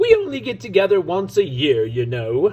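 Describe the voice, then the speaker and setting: A man puts on a character voice pitched high, with very wide pitch swings. His pace is moderate. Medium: read story.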